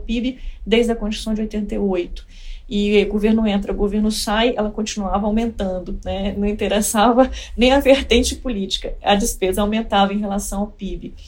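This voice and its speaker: Speaking at a moderate pace, a woman uses a somewhat breathy, medium-pitched voice with monotone, flat intonation. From Espírito Santo, Brazil (Colatina). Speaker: economist, former treasury official. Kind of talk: interview.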